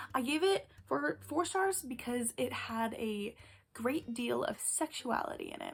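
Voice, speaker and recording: A high-pitched woman's voice with lively intonation. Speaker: book youtuber. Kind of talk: casual monologue. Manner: animated; occasional stutter.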